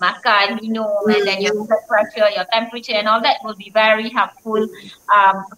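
Light background noise sits behind the audio. Through it, a woman talks. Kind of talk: interview answer, health advice. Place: office. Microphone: video call.

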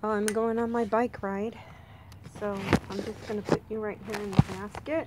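With noticeable background noise behind it, the voice moves at a fairly slow pace in a monotone, flat intonation. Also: woman. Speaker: vlogger. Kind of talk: casual vlog chat. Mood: cheerful, relaxed.

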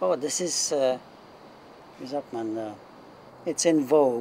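A man talks at a very slow pace with long, frequent pauses and big swings in loudness. His intonation is lively, and there is light background noise. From Germany. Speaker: retired factory worker; interviewee. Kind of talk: interview. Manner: halting. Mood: calm, reflective. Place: garden.

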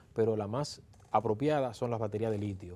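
A man's dark, mellow voice at a moderate pace, with fairly even intonation. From Dominican Republic, Santo Domingo; Dominican Republic. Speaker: electric vehicle conversion specialist; guest. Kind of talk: interview. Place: studio. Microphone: lapel.

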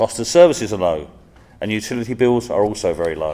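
At a moderate pace, a man speaks with an English accent. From England. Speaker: professor. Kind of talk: formal speech. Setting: stage with audience.

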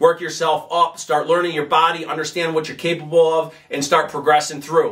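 Against a quiet background, a man talks at a moderate pace with a bright, sharp tone. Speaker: fitness coach. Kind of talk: tutorial. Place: gym.

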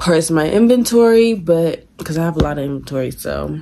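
There's light noise behind the recording. A woman talks at a moderate speed. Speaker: vlogger. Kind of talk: casual vlog chat. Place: home room. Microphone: phone near.

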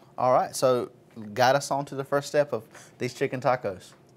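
A man at medium pitch, moderate pace and fairly even intonation

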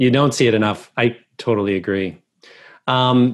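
The speaker goes at a fairly slow pace against a quiet background. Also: man. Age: 40s. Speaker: podcast host. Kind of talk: interview. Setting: video call. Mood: warm, admiring. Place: home room. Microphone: earbuds.

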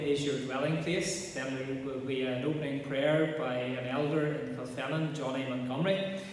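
A man speaks at a moderate pace with fairly even intonation amid strong room echo and light background noise. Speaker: minister. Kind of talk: scripture reading and service welcome. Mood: calm, reverent. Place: church. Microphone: camera far.

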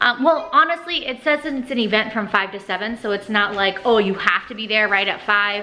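A woman's moderate-paced speech comes with light background noise behind it. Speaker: mother vlogger. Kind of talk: casual vlog chat. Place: home room. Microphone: phone near.

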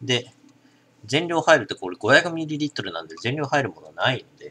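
The speech has big swings in loudness at a moderate pace over light background noise. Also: man. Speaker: drinking vlogger. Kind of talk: product review commentary. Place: home room.

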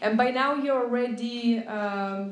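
Speaking slowly in a Lithuanian accent, a woman uses a fairly high pitch with ordinary pitch variation. Room echo is audible.

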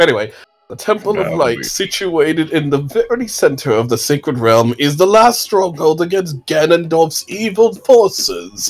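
Putting on a gruff character voice, a man talks at a moderate pace in a fairly high pitch. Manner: grumpy, gruff.

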